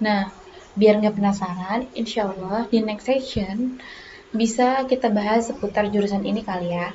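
Noticeable background noise sits behind a woman speaking at a moderate pace with medium pitch and fairly even intonation. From Batam, Riau Islands, Indonesia. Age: 20s. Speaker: podcast host, university student. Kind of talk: casual solo podcast talk.

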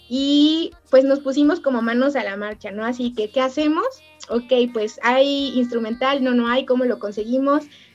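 Speaking with a Mexican accent, a woman uses a high pitch and ordinary pitch variation. Her pace is moderate. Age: 30s. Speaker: fandubber and voice-over artist. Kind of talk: casual chat.

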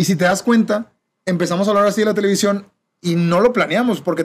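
The talk moves at a very fast pace with ordinary pitch variation. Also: man. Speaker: podcast host. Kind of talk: casual chat.

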